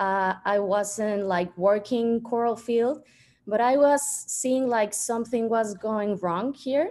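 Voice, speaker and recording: Over a quiet background, the speaker goes at a very slow pace in a Spanish accent, with ordinary pitch variation. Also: woman, fairly high pitch for a woman. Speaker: industrial designer and coral conservationist. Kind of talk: presentation. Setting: video call.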